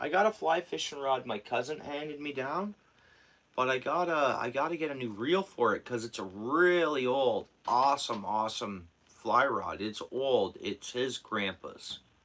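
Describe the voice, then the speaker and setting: A man with a bright, sharp tone and medium pitch talks at a moderate pace with lively intonation. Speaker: fishing livestreamer. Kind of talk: casual livestream chat. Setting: at home.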